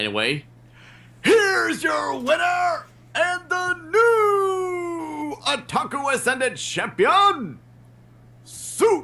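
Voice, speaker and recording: A man uses a put-on character voice, extremely high in pitch and very slow in pace. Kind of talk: formal announcing. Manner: announcer voice.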